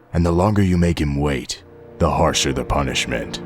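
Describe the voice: Clear music sits behind a man doing a put-on character voice, very deep and low, at a moderate pace.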